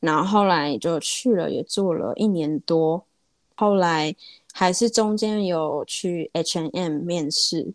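Very slow speech from a woman with a fairly low voice and ordinary pitch variation, in a dry, close sound with no echo. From Taiwan. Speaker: small business owner. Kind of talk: interview. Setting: remote call.

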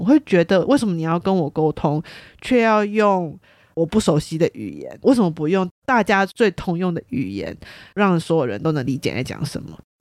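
A woman talks at a moderate pace with a fairly low pitch and very wide pitch swings. The recording is very clean, with a silent background and a dry, close sound with no echo. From Taiwan. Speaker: podcast host, sociology student. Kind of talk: casual monologue.

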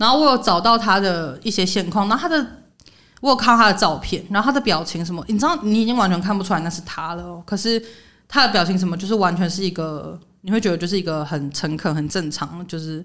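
The intonation is lively and the tone bright and sharp. The pace is very fast. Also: woman, medium pitch for a woman. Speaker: podcast host. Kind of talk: casual chat.

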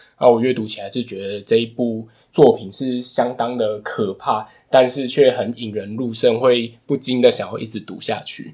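At a moderate pace, a man with a dark, mellow tone speaks with fairly even intonation and big swings in loudness. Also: medium pitch for a man. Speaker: book podcast co-host. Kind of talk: casual book discussion.

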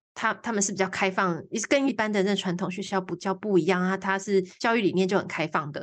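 A woman talks at a fairly quick pace and medium pitch, with ordinary pitch variation. The background is quiet. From Taiwan, Changhua. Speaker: environmental artist and primary school teacher. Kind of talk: interview. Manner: halting, many fillers.

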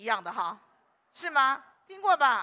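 A woman speaks in a high, bright and sharp voice, raised and projected, with lively intonation. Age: 60s. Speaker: preacher. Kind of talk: sermon. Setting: church. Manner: animated.

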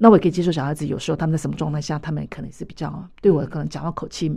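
Speaking very fast with vocal fry, a woman uses a very deep, low, dark, mellow voice against a quiet background. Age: 50s. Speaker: mental health association vice-chair. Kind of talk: radio interview.

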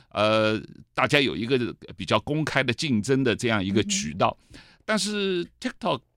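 A man's medium-pitched voice at a moderate pace with very wide pitch swings, on a very clean recording with a silent background. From mainland China. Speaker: author and TV host, political commentator. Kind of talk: interview. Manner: hesitant, many fillers.

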